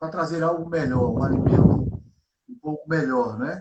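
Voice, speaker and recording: Speaking at a fairly slow pace, the man has a fairly high pitch, ordinary pitch variation and big swings in loudness. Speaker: pastor. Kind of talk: sermon-style bible teaching. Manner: soft-spoken. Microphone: too quiet.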